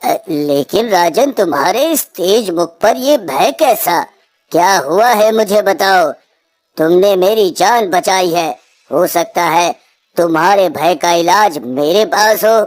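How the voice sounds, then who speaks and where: A woman puts on a cartoonish character voice, raspy and lively in intonation, at a fairly slow pace. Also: medium pitch for a woman. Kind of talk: devotional sage speech. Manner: solemn, measured.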